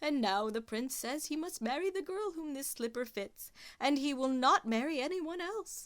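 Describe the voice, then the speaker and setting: A woman puts on a character voice. Her pitch is high and her intonation lively. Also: moderate pace. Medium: read story.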